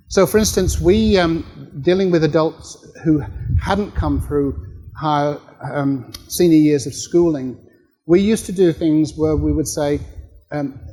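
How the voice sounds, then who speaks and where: Over noticeable background noise, a man with a fairly high pitch speaks fairly slowly with ordinary pitch variation. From Australia. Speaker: professor. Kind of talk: workshop Q&A answer.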